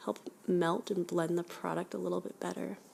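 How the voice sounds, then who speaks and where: Speaking at a moderate pace, the woman is soft-spoken. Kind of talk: ASMR makeup application chit chat. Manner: soft-spoken, casual.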